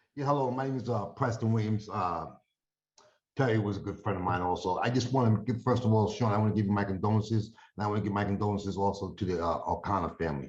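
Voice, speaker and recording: A man talks at a very fast pace in a New York accent, somewhat breathy. His pitch is fairly low with ordinary variation. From New York (Yonkers). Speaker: friend giving a eulogy. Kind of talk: memorial tribute. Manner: casual, halting.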